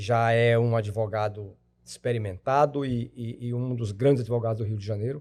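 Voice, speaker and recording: This man's medium-pitched voice keeps fairly even intonation at a moderate speed. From Brazil, Tocantins. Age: 60s. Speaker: lawyer and retired judge. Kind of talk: podcast interview. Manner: halting.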